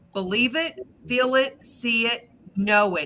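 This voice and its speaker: A woman's fairly high voice with lively intonation, over noticeable background noise. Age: 50s. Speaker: psychic reader. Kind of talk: live-stream card reading.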